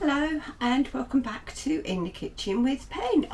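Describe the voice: A woman puts on a character voice that is high, croaky and hoarse, speaking at a moderate pace over light background noise.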